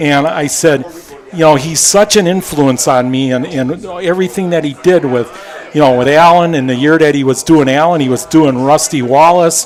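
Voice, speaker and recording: Noticeable background noise surrounds a man with an American accent. He speaks at a moderate pace in a fairly high voice with ordinary pitch variation. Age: 70s. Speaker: former racing crew member. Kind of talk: casual interview.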